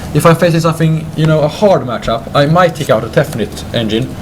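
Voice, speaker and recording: Noticeable background noise sits behind a man with a Swedish accent. His pitch is fairly high and his pace moderate. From Sweden. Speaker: card game deck presenter. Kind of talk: casual chat. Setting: game store with crowd. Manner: halting.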